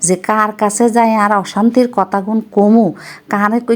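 A woman with a Noakhali accent. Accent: Noakhali dialect Bengali. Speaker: vlogger, housewife. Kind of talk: casual vlog monologue in regional dialect.

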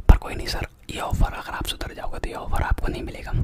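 A man whispers, soft-spoken and low in volume. Loud background noise runs behind him. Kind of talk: comedic role-play phone call. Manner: soft close-mic whisper, call-center roleplay. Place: home room. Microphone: studio mic.

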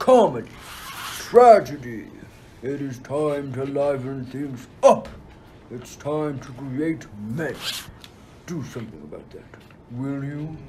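A man's put-on character voice, fairly high in pitch, fairly slow, with long, frequent pauses over clear background noise. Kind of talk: school radio play acting. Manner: imperious, wrathful.

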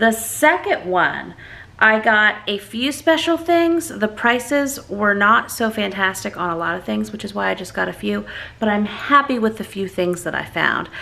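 Pitch swings very widely as the speech keeps a moderate pace. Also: woman. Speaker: family vlogger. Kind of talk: casual vlog chat. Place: home room. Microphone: phone near.

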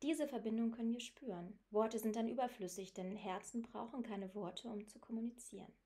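A woman with a fairly high pitch and a dark, mellow, somewhat breathy tone speaks at a moderate pace with fairly even intonation. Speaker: audiobook narrator and author. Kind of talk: audiobook reading, literary first-person narration.

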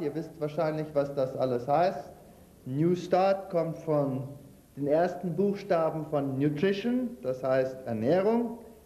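A man talks at a very slow pace with lively intonation, and audible room echo surrounds his voice. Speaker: lecturer on health and nutrition; lecturer on health. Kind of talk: lecture with cooking demonstration. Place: hall.

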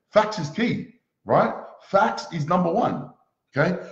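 A man's animated, high-pitched voice with ordinary pitch variation, audible room echo and a quiet background. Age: 20s. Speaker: motivational speaker. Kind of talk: motivational talk. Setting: live stream. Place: home room. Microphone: webcam.

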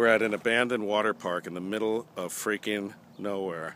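A man with a fairly low pitch speaks in an unremarkable speaking voice at a fairly quick pace with fairly even intonation, in a dry sound with no echo and light background noise. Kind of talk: casual vlog chat. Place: open country. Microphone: phone near.

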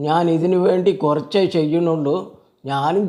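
The tone is dark and mellow, and the intonation fairly even. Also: man. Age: 80s+. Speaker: elderly father demonstrating exercise. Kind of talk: tutorial. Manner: halting.

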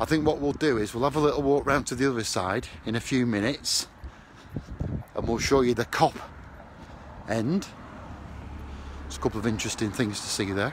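The speech moves at a moderate pace with ordinary pitch variation and long, frequent pauses. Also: man, medium pitch for a man.

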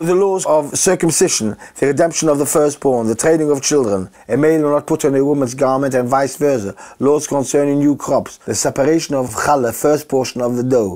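Speaking at a fairly quick pace, a man uses ordinary pitch variation and hardly any pauses. The background is quiet. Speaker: interviewee. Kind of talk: interview answer. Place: home room.

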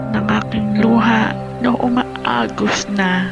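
There is music in the background. The woman speaking goes very slowly. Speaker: vlogger. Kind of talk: spoken word poetry performance. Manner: emotional, pleading.

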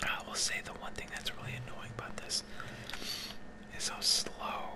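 Noticeable background noise under a man speaking at a moderate pace. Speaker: ASMR content creator. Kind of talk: casual talk to camera, gaming commentary. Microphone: studio mic.

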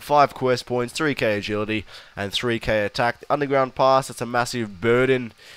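At a moderate pace, a man talks with medium pitch and fairly even intonation. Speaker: gaming video creator. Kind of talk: gameplay commentary. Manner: casual, hesitant with many fillers.

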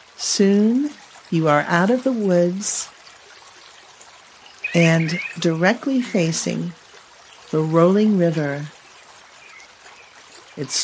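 A woman's fairly low voice, calm and soothing, at a very slow pace with long, frequent pauses and lively intonation, over light background noise. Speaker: color therapist and podcast host; podcast host. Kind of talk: guided meditation narration. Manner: slow, calm, soothing. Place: home room. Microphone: studio mic.

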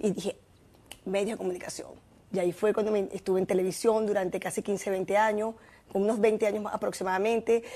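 A woman talks at a fairly quick pace in a dark, mellow tone. Her intonation stays monotone and flat. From Venezuela. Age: 50s. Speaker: former vice minister and fitness promoter; former vice minister. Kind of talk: interview. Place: studio. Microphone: lapel.

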